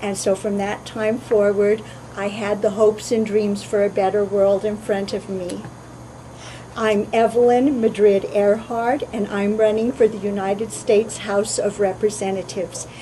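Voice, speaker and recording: The speech moves at a moderate pace in a monotone, flat delivery over noticeable background noise. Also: woman, medium pitch for a woman. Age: 50s. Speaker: political candidate. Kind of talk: campaign statement.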